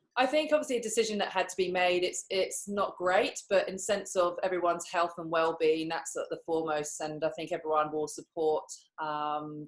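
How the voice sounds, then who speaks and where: In a very clean recording with a silent background, a woman with an English accent speaks at a fairly quick pace and a fairly low pitch. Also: ordinary pitch variation. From England. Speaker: professional netball player. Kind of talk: interview.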